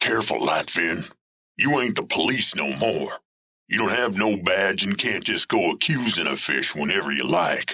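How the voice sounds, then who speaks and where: A man puts on a gruff character voice at a fairly low pitch, with very wide pitch swings. He keeps a moderate pace and very even loudness. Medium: audio drama. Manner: streetwise, defensive, ungrammatical.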